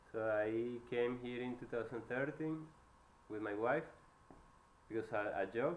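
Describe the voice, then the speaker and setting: Man with a Venezuelan accent at a fairly slow pace, with long, frequent pauses. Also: medium pitch for a man, ordinary pitch variation. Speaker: electrical engineer. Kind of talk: job interview. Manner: halting.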